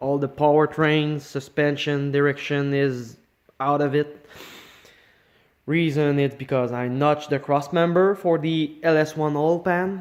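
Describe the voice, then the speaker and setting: With a Quebec accent, a man talks at a fairly slow pace in a fairly high pitch, his intonation fairly even. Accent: French Canadian accent in English. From Quebec, French Canada. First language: French. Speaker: car hobbyist. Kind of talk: casual project walkthrough. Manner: halting, with fillers and false starts.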